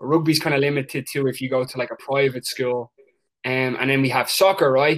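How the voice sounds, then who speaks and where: Speaking with an Irish accent, a man moves at a fairly quick pace. His pitch is fairly high and his intonation fairly even. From Ireland. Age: 20s. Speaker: soccer coach. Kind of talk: interview.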